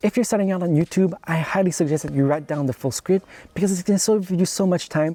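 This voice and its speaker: The tone is dark and mellow, and the pace is fairly quick. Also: man. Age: young. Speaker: YouTuber, photographer and filmmaker. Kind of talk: tutorial. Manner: scripted delivery.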